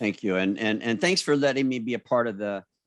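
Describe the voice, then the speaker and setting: In front of a quiet background, a man with a fairly low pitch uses an ordinary speaking voice, talking at a moderate pace with ordinary pitch variation. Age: 60s. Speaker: beauty industry business owner and motivational speaker. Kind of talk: casual interview.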